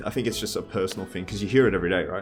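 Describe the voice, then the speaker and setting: A man is speaking. Music plays behind him. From Australia. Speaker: streamer. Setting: playing a video game. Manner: casual, conversational.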